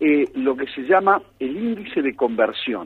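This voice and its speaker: At a fairly slow pace, a man speaks. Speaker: dairy sector analyst. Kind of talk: radio report.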